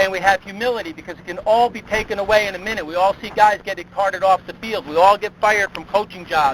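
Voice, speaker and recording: Through noticeable background noise, a man with a US Northeastern accent talks fairly quickly at a high pitch. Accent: US Northeast. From upstate New York (East Greenbush). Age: 50s. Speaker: motivational speaker, sports consultant. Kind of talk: motivational speech.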